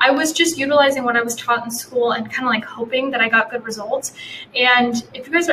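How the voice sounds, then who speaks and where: Over noticeable background noise, a woman talks at a very fast pace in a high pitch. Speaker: posture educator, doctor. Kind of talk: live webinar with chat Q&A. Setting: live stream webinar. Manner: animated.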